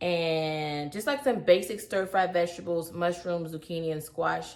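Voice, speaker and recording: A woman with a Southern US accent talks in an animated tone at a fairly slow pace and a fairly low pitch. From US South. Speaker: cooking youtuber. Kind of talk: cooking tutorial. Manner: animated, chatty.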